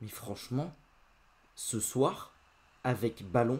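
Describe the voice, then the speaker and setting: This man's medium-pitched voice has a dark, mellow tone. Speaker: football YouTuber. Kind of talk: post-match football debrief. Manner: casual, hesitant with many fillers.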